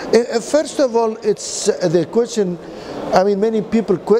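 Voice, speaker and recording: A man's voice with lively intonation at a moderate pace, over noticeable background noise. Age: 60s. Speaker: physician and renewable energy chairman. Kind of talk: interview. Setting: energy forum event. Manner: halting.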